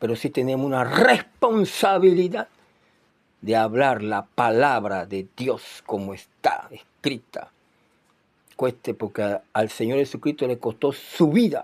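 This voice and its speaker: On a very clean recording with a silent background, a man of medium pitch speaks very slowly with lively intonation. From Panama (Chiriquí). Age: 60s. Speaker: preacher. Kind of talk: sermon.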